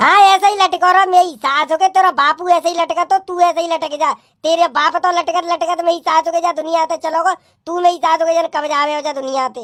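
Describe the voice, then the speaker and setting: This cartoonish character voice is pitched extremely high and races along at a very fast pace. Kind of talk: cartoon comedy. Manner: brash, swaggering, rustic.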